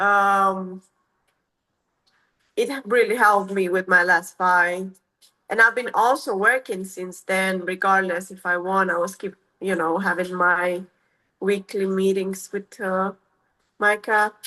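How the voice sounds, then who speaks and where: In a quiet setting, a woman with a non-native accent speaks fairly slowly at medium pitch, her tone bright and sharp, her intonation fairly even, and her pauses long and frequent. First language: not English. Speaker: MMA fighter. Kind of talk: interview. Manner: halting.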